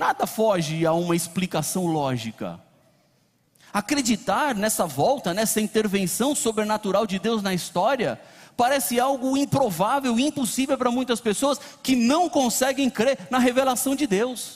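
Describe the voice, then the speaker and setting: A man talks in an extremely high voice with lively intonation. He takes a fairly slow pace. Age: 40s. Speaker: pastor. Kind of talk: sermon. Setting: church.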